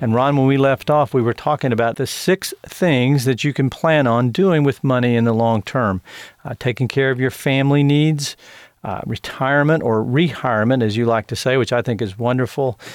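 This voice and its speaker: This man talks at a moderate pace with ordinary pitch variation and an ordinary speaking voice. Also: medium pitch for a man. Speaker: radio host and ministry CEO. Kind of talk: radio interview. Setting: studio.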